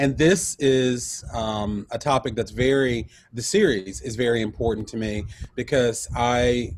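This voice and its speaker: Moderate pace and ordinary pitch variation in a North Carolina accent. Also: man. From North Carolina, US South. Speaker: event co-host, communications firm founder. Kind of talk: panel discussion introduction.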